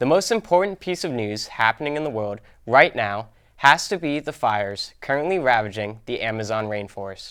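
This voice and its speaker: Very wide pitch swings in an American accent, at a moderate pace in a very clean recording with a silent background. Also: man, medium pitch for a man. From Plymouth, Massachusetts. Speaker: student news presenter. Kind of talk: scripted student news segment.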